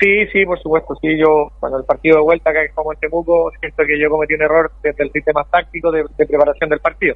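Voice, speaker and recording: A man's fairly high-pitched voice at a very fast pace, monotone and flat, with hardly any pauses. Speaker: football coach. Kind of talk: interview.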